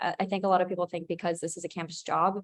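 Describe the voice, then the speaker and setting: A woman's medium-pitched voice stays monotone and flat throughout. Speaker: student supervisor. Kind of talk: presentation Q&A answer. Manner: fast.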